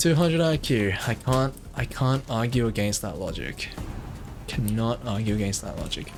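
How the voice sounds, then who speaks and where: Music plays in the background as a man speaks at a moderate pace. His pitch is medium and his intonation lively. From Australia. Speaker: video game streamer. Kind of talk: live gameplay commentary. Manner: casual, hesitant with fillers.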